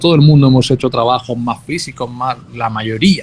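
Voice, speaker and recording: A somewhat breathy man with a Spanish accent, speaking at a fairly slow pace. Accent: Spanish (Spain). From Spain. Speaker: university professor. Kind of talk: online class discussion.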